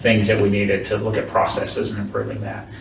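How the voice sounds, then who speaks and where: Noticeable background noise can be heard. There is audible room echo as well. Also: man. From US South, northern Florida. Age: 50s. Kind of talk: interview.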